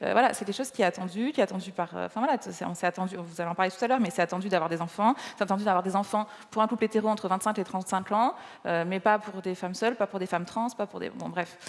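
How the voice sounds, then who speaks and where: A woman talks at a very fast pace with a slight Nice accent. Her pitch varies in an ordinary way. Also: medium pitch for a woman. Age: 30s. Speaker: gynecologist and author. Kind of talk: stage interview. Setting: stage with audience. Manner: halting, many repetitions.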